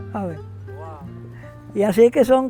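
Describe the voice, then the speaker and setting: Music plays behind a man who speaks at a fairly slow pace in a high pitch. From Dominican Republic, Cibao region. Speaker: farmer. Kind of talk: interview answer, oral history.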